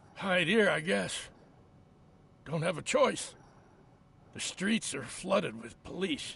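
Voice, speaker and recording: A man uses a raspy, put-on character voice pitched high. He goes fairly slowly, with long, frequent pauses. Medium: video game. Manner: nervous, pleading.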